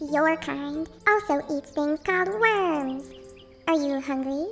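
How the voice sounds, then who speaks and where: A put-on character voice, high-pitched and squeaky, moves at a fairly slow pace. Clear music plays in the background. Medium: read story. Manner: sly.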